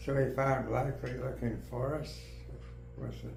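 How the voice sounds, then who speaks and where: Noticeable background noise sits behind a man who speaks very slowly. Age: 80s+. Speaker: mycologist, professor emeritus. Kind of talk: interview answer. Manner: slow, hesitant.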